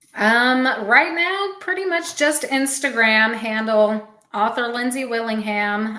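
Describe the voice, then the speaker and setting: Audible room echo surrounds a voice with a bright, sharp tone that moves at a fairly slow pace with ordinary pitch variation. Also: woman. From Alabama. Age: 30s. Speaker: fantasy author. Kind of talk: casual chat.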